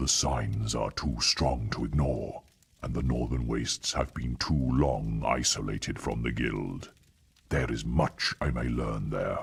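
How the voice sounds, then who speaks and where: A man puts on a character voice with a very deep, low pitch. He goes at a fairly slow pace. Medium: video game. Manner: solemn, detached.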